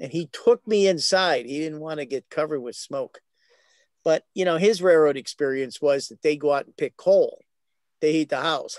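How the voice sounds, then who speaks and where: Recorded in a dry, close sound with no echo, a man with an American accent and a plain, everyday voice speaks at a moderate pace and fairly high pitch, with big swings in loudness. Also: ordinary pitch variation. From Philadelphia, Pennsylvania. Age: 60s. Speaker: transit history enthusiast. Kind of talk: casual chat.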